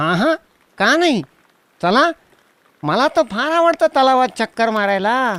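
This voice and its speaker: A cartoonish character voice at a fairly high pitch and a moderate pace. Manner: lively, friendly.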